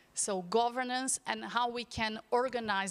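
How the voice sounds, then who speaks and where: A woman with a Portuguese accent. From Brazil. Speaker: panelist, agriculture policy expert. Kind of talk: panel discussion. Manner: halting.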